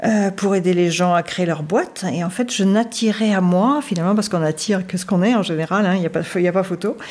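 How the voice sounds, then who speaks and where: A woman at a medium pitch with ordinary pitch variation, at a very fast pace with hardly any pauses. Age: 60s. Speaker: life coach. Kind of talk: personal testimony in interview. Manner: hesitant, many fillers.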